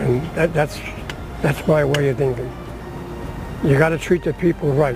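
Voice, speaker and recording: Music plays in the background as a man talks. His pitch is fairly high and his pace moderate. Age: 80s+. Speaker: WWII Navy veteran. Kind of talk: interview answer. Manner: casual, rambling.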